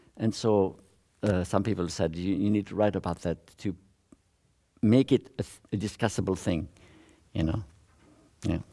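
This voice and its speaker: A man speaks at a moderate pace with long, frequent pauses. His very deep, low voice is dark and mellow, with fairly even intonation. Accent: French. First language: French. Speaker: social learning theorist, visiting professor. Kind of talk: academic talk with audience Q&A. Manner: halting, with self-corrections.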